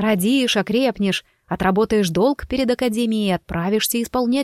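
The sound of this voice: Ordinary pitch variation colors an unforced reading voice.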